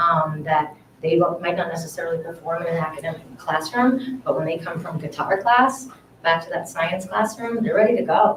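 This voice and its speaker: Noticeable background noise behind a woman with ordinary pitch variation. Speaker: parent speaking at public comment. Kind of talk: public comment at school committee meeting. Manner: fast; animated.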